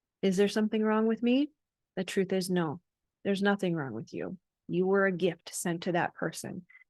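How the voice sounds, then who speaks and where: Against a quiet background, a woman with an ordinary speaking voice talks at a moderate pace in a medium pitch with ordinary pitch variation. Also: dry, close sound with no echo. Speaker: life coach. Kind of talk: motivational talk to camera.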